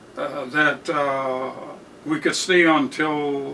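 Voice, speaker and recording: A man with an American accent speaks at a very slow pace in a fairly high, monotone voice with flat intonation. Noticeable background noise is present. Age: 90s. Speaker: World War II veteran. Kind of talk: interview answer.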